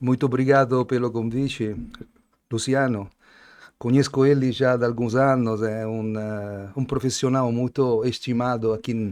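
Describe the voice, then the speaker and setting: Against a quiet background, the speaker uses monotone, flat intonation at a fairly slow pace with an Italian accent. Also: man, medium pitch for a man. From Italy. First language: Italian (speaking Portuguese). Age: 60s. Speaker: wine importer, Italian wine expert. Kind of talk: casual interview. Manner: halting.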